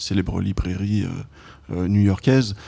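With a dark, mellow tone, a man speaks fairly slowly at a fairly low pitch. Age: 40s. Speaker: film journalist and documentary director. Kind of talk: casual interview chat about film. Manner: halting, many hesitations and repetitions.

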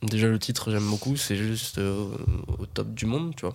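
The speaker is a man whose pitch is fairly low. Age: 20s. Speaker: podcast guest. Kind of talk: casual chat.

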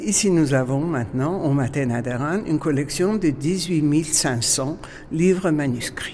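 Very slow speech in an Armenian accent, with noticeable background noise. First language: Armenian (speaking French). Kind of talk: guided museum tour.

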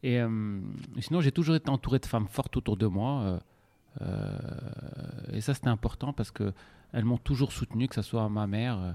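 A man's medium-pitched voice has a dark, mellow tone, ordinary pitch variation, and a dry, close sound with no echo. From Morocco, Casablanca. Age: 40s. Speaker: restaurant entrepreneur. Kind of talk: interview. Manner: hesitant, with filler sounds.

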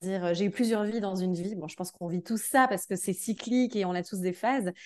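Little can be heard behind the voice. Its pitch moves in an ordinary way. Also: woman. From Belgium. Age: 30s. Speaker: energy therapist and dance teacher. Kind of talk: casual interview. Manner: hesitant, many fillers.

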